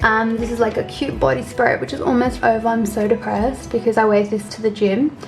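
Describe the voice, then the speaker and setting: Over music in the background, the speaker moves at a fairly quick pace with hardly any pauses and ordinary pitch variation. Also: woman, fairly high pitch for a woman. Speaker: lifestyle vlogger. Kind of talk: casual vlog walkthrough. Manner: fast; animated.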